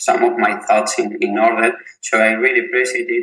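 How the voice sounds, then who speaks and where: At a moderate pace, the man talks in a Spanish accent. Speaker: physiotherapist and researcher. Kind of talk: interview. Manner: halting, repeats words.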